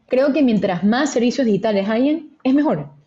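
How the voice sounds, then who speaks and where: A woman's somewhat breathy voice with a dark, mellow tone, ordinary pitch variation and a fairly quick pace. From Ecuador, Guayaquil. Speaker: venture capital investor. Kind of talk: interview.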